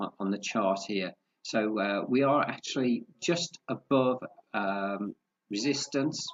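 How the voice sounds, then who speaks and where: A fairly low-pitched male voice at a very slow pace. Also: ordinary pitch variation. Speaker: forex trading analyst. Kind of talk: market analysis tutorial. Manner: halting, many fillers.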